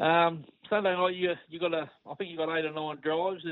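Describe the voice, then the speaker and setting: A man with an Australian accent. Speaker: racing tipster. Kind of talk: casual chat. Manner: relaxed.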